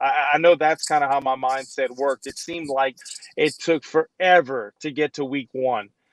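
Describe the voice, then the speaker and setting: The sound is dry and close with no echo. A man with a Louisiana accent talks at a moderate pace in a fairly high pitch with fairly even intonation. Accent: Southern US, Louisiana. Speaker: former football player, radio host. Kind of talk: casual chat. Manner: hesitant, filler-heavy.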